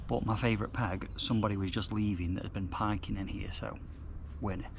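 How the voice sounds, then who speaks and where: In a room with audible echo, a somewhat breathy man talks fairly quickly at a fairly low pitch. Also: fairly even intonation. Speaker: carp fishing vlogger. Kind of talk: casual vlog narration. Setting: outdoors at lake. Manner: quiet, lowered voice.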